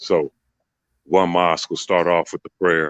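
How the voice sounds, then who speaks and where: A man with an American accent speaks at a very deep, low pitch and a moderate pace. The sound is dry and close with no echo. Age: 40s. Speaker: retired basketball player. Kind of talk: casual chat.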